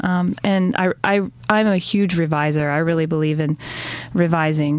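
Speaking with an American accent, a woman has a fairly low pitch and fairly even intonation. It is an ordinary speaking voice. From US South, Chattanooga, Tennessee. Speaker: poet. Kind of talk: interview.

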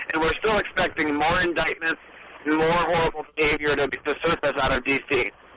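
Noticeable background noise sits behind a man with a fairly high pitch. He speaks at a moderate pace with very even loudness and fairly even intonation. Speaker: political activist. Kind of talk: interview about politics. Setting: phone call from a car.

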